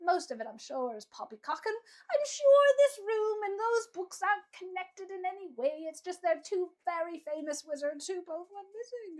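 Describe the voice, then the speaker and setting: A woman performs a squeaky put-on character voice at an extremely high pitch with very wide pitch swings. She keeps a moderate pace with hardly any pauses. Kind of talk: fantasy tabletop NPC voice. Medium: actual play. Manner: rambling, dismissive.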